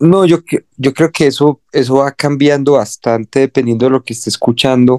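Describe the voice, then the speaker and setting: A man talks at a moderate pace in a normal speaking voice, with medium pitch, fairly even intonation and a dry, close sound with no echo. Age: 20s. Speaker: musician and music producer. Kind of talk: casual interview.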